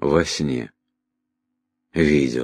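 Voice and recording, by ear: A man's put-on character voice, extremely low in pitch with a slightly husky edge, ordinary pitch variation, and a very slow pace, in a very clean recording over a silent background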